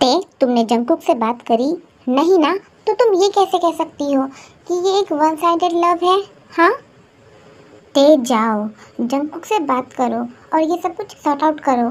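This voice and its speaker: A woman's squeaky put-on character voice, extremely high in pitch, with lively intonation, a moderate pace and long, frequent pauses. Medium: fan dub.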